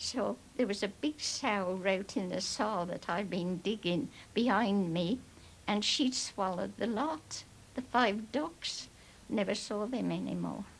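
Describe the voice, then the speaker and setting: A woman's medium-pitched voice with vocal fry, fairly slow and with ordinary pitch variation. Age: 80s+. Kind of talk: interview answer, reminiscing. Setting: TV documentary.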